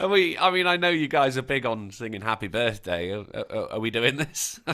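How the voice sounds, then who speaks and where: Speaking at a fairly quick pace, a man at medium pitch makes very wide pitch swings. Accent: British. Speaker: live stream panelist. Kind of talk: casual chat. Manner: posh-sounding.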